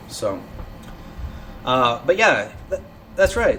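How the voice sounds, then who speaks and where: A man's voice with noticeable background noise. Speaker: internet radio show host. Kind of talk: casual live show monologue. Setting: live online broadcast. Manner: halting, stuttering.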